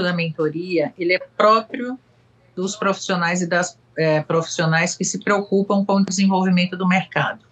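A woman in a Bahian accent, medium in pitch, moderate in pace, with fairly even intonation. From Salvador, Bahia, Brazil. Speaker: marketing agency executive. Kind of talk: casual chat. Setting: video call.

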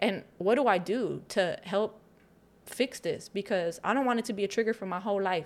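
A woman's unremarkable speaking voice with an American accent, medium in pitch, moderate in pace, with ordinary pitch variation. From Chicago, South Side. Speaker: community activist. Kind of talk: casual chat. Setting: studio.

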